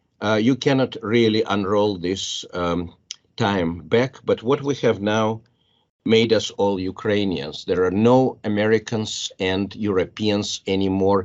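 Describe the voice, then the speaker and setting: Talking at a fairly slow pace in a Russian accent, a man with fairly low pitch uses ordinary pitch variation. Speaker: biology professor. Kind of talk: panel discussion. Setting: panel with audience. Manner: halting.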